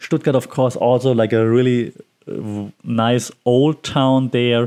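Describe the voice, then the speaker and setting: A man with a Bavarian accent. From Bavaria, Germany. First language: German. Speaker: podcast host. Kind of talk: casual solo podcast monologue.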